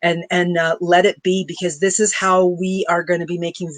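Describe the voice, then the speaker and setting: The recording is dry and close, with no echo. A woman speaks at a fairly low pitch. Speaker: spiritual coach. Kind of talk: interview. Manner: fast.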